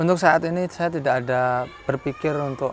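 In a Javanese accent, a man speaks in a relaxed tone with a dry sound, no echo, and light background noise. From Central Kalimantan, Javanese family. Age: 30s. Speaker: school principal. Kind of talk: interview. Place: garden.

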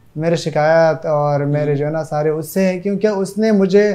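The background is quiet. A man speaks with a dark, mellow tone. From Pakistan, Balochistan (Qila Saifullah district); Balochistan, Pakistan. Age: 20s. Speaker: madrasa student; interviewee. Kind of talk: interview. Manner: halting. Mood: aggrieved, recounting abuse. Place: home room.

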